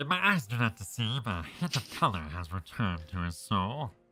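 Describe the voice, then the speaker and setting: A man's put-on character voice at a fairly low pitch, moderate in pace. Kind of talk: archaic, theatrical. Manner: mischievous, calm.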